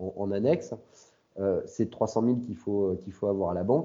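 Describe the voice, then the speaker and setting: Fairly low male voice with ordinary pitch variation, moving at a moderate pace. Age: 40s. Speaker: pharmacy owner. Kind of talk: interview on a live webinar. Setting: online live webinar. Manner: halting, many repeated words and fillers.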